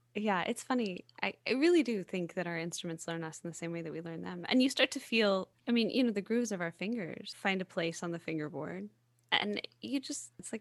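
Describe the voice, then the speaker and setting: This woman has a normal speaking voice, medium pitch and lively intonation, with an American accent. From US South. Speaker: podcast host, singer-songwriter. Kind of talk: casual interview chat.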